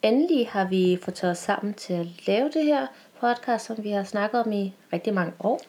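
Lively intonation marks this woman's plain, everyday voice at a medium pitch. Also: moderate pace. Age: 20s. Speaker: podcast co-host and university student. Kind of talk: casual chat.

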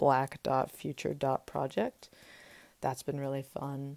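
A woman with an American accent speaks fairly slowly in a very deep, low voice. The recording is very clean and dry, close with no echo and a silent background. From Texas, Austin. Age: 20s. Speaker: university student. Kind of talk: personal introduction podcast.

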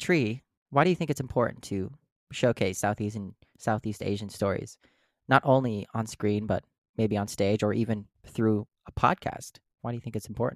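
A man with an American accent and an unremarkable speaking voice, fairly low in pitch with ordinary variation, at a moderate pace, in a dry, close sound with no echo. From US Midwest, Minnesota. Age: 20s. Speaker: actor and artist. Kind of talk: casual chat.

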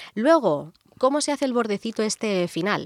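A woman's voice, dry and close with no echo, moves at a moderate pace with very wide pitch swings. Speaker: radio show co-host. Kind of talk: casual chat, explanatory segment. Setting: radio studio. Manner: laughing, giggly.

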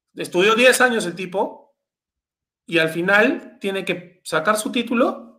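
Bright, sharp tone from a man, with lively intonation and a fairly slow pace. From Peru. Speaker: youtuber. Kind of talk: casual chat.

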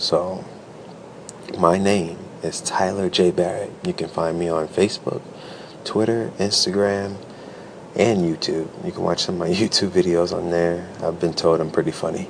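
Noticeable background noise sits under a moderate pace. The intonation is monotone and flat, with long, frequent pauses. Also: man, very deep, low pitch for a man. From Chicago South Side, US. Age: 20s. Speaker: podcaster. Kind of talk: casual monologue. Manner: casual, rambling with fillers.

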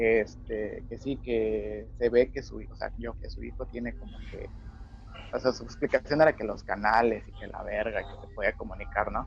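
With a Mexican accent, a man talks in big swings of loudness. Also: moderate pace. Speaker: podcast co-host. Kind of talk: casual chat.

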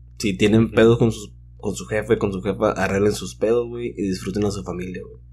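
With music playing in the background, this man's pitch swings very widely at a fairly quick pace. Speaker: DJ. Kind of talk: casual chat.

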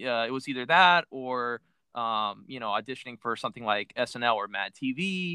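With an American accent, a man talks at a moderate pace. His pitch is medium, with ordinary variation. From Miami, Florida. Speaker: podcast host. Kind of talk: casual interview chat. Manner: halting with many fillers.

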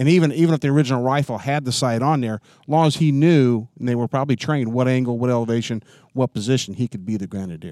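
A man speaks at a very fast pace with a dark, mellow tone. The sound is dry and close with no echo. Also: medium pitch for a man, ordinary pitch variation. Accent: American. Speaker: firearms collector. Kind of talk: casual chat. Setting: shooting range.

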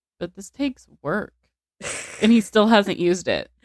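A woman has a plain, everyday voice with ordinary pitch variation and a fairly quick pace. The sound is dry and close, with no echo. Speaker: podcast co-host. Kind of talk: casual chat with true crime reading.

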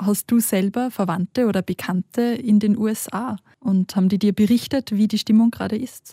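A woman at a moderate pace, fairly high in pitch and somewhat breathy, with a dark, mellow tone, fairly even intonation, and a dry, close sound with no echo. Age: young. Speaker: podcast co-host, religious educator. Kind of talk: interview.

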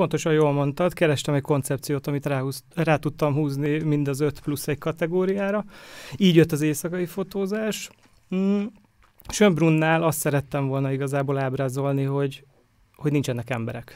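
A man with an unremarkable speaking voice talks at a moderate pace. His pitch is fairly high, with ordinary pitch variation. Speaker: photographer. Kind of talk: casual chat. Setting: studio.

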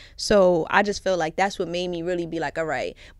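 A woman at medium pitch in a Brooklyn accent, talking very fast, in a very clean recording with a silent background. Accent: New York (Brooklyn). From Brooklyn, New York. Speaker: guest, content creator who was in prison. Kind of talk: casual podcast interview. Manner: animated, interrupts often, joking.

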